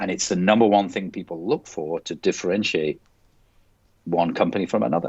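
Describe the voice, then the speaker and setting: With a strong British accent, this man talks in a very deep, low pitch. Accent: strong UK. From Scotland. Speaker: company president. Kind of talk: podcast interview.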